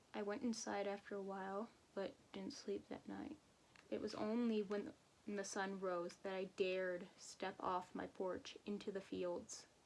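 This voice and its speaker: Her delivery is moderate in speed, with fairly even intonation and a medium pitch. It is a plain, everyday voice. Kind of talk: horror story reading.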